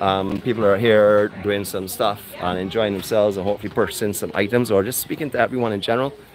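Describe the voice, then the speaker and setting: A man talks at a very fast pace with a fairly low pitch. Faint music plays in the background. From Barbados. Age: 50s. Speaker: travel vlogger. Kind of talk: live walkabout vlog with interviews. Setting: outdoors at a farmers market. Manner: animated. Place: market. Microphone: phone near.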